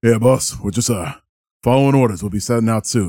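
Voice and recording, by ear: A man's gruff, put-on character voice at medium pitch and a fairly quick pace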